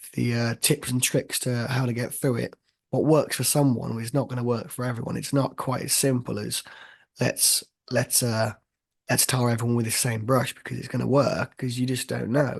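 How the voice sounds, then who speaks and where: This man's voice sits at medium pitch and is somewhat breathy, delivered in a monotone, flat intonation. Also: moderate pace. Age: 20s. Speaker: podcast host. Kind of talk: casual chat.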